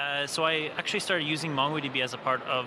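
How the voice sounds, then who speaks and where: A man at a very fast pace, with audible room echo and noticeable background noise. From Italy. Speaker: software engineer, conference attendee. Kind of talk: casual interview. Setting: conference floor.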